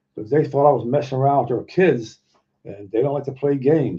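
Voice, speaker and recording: A man's somewhat breathy voice. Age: 70s. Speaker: Bigfoot researcher and YouTuber. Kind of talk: casual live chat with viewers. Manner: halting, many fillers and repetitions.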